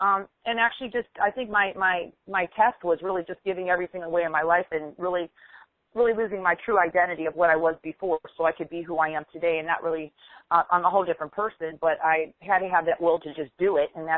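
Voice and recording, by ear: Fast-paced and fairly low in pitch, a woman with an American accent speaks with fairly even intonation in a dry, close sound with no echo.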